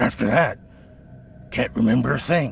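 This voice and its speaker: A raspy man's put-on character voice at medium pitch, moderate pace, and clear background noise. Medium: video game. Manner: nervous, stammering.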